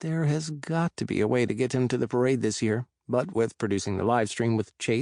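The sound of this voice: An unforced voice reads aloud. Nothing is heard in the quiet background.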